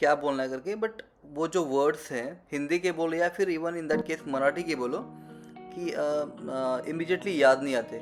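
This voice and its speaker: A man speaks with a Marathi accent at a moderate pace. His voice is fairly high, with ordinary pitch variation. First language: Marathi (speaking Hindi). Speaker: travel vlogger. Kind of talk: travel vlog narration. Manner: halting, many fillers; Hindi-English code-switching.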